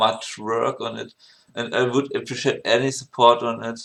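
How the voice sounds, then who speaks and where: A man speaks at a medium pitch in a German accent with fairly even intonation. The background is quiet. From Germany. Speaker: music producer. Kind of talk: tutorial. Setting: home screen recording. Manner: halting, many fillers and restarts. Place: home room.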